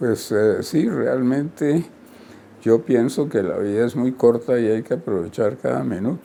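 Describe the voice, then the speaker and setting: A man's dark, mellow tone at a fairly slow pace, with ordinary pitch variation. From Colombia. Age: 90s. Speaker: retired surgeon and professor. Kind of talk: interview. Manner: halting, many fillers.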